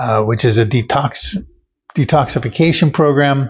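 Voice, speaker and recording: A somewhat breathy man with an American accent, medium pitch, ordinary pitch variation and a fairly slow pace. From US Pacific Northwest (Oregon). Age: 70s. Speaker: patient giving a testimonial. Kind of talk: testimony. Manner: halting, many fillers.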